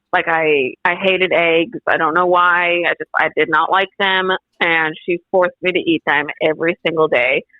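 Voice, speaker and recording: A woman's fairly low-pitched voice, monotone and flat in intonation, at a moderate pace. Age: 20s. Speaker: podcast guest sharing life story. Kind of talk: testimony. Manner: halting, filler-heavy.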